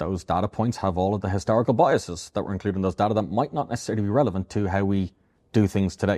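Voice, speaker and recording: With an Irish accent, a man speaks very fast at a fairly low pitch, with ordinary pitch variation and a dark, mellow tone. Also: quiet background. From Ireland. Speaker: AI robotics expert and company founder. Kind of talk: podcast interview. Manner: repeats words often.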